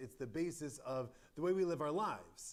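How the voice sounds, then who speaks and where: Loud and at a fairly slow pace, a man delivers his words. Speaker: rabbi. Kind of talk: Torah study lecture. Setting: synagogue chapel with live stream. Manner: halting, many fillers.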